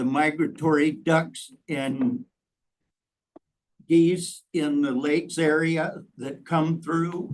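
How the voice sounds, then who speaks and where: In an American accent, a man is talking. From US Midwest, Dickinson County, Iowa. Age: 70s. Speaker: public commenter, local hunter. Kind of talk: public comment at hearing.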